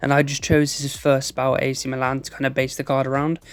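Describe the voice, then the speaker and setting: With music playing in the background, a man speaks very fast in a fairly high pitch. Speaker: football gaming youtuber. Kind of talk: casual video commentary.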